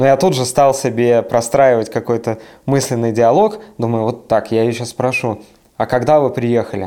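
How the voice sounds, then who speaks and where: A man speaks with a dark, mellow tone at medium pitch. His intonation is fairly even and his pace moderate. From Siberia, Russia. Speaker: podcast co-host. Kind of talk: casual chat.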